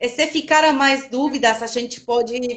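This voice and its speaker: A woman talks with a high pitch. Her intonation stays fairly even and her pace is fairly slow. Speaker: biologist, product specialist. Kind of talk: live webinar Q&A. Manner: halting.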